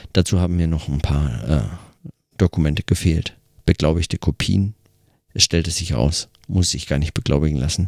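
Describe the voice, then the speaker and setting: Moderate pace, ordinary pitch variation and vocal fry from a man with a very deep, low voice, in a dry, close sound with no echo. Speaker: podcaster. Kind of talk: audio diary monologue. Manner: hesitant, many fillers.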